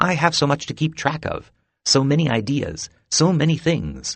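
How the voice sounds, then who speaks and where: A croaky, put-on character voice from a man, fairly high-pitched, at a moderate pace. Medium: read story. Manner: brisk, fussy.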